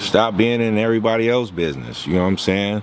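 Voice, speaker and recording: A man's fairly low-pitched voice with ordinary pitch variation, over noticeable background noise. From Venice, Los Angeles, California. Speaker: former prisoner telling his life story. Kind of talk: interview. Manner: casual, profane street talk.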